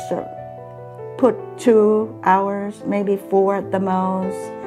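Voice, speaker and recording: Clear music plays in the background. Over it, a woman speaks at a very slow pace. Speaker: homeowner, charity fund recipient. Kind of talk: interview answer. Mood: warm, grateful. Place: kitchen. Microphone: lapel.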